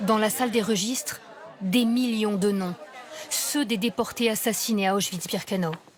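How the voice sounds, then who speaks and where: A woman's fairly high voice at a fairly slow pace, very even in loudness and fairly even in intonation, with crowd noise in the background. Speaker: TV news reporter. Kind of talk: TV news report narration.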